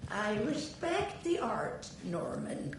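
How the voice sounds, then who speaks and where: A woman puts on a character voice at a fairly high pitch, with slight echo and clear background noise. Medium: video game. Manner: tart, gossipy.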